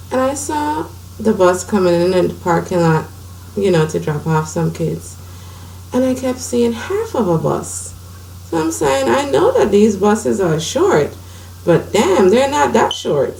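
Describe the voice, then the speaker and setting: Someone speaks at a fairly slow pace amid noticeable background noise and audible room echo. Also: woman. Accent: American. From US Virgin Islands, St. Croix. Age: 30s. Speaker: blind woman sharing her medical story. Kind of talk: personal testimony.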